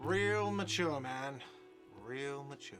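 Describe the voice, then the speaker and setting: Over music in the background, a man does a whiny, put-on character voice at medium pitch. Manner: shouting, taunting.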